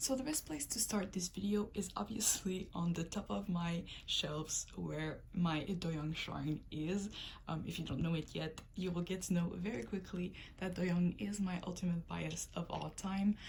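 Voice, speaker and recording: Somewhat breathy, a woman with a Quebec accent speaks fairly slowly at a fairly low pitch with ordinary pitch variation. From Quebec, Canada. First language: French. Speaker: K-pop collector, video creator. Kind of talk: collection tour video. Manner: casual, hesitant with frequent ums.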